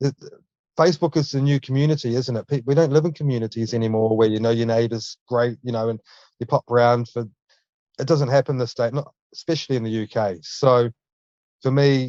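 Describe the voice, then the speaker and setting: In a dry, close recording with no echo, a man with a New Zealand accent speaks at a medium pitch and fairly quick pace, his tone dark and mellow and his intonation fairly even. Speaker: junk removal business owner. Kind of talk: casual interview chat.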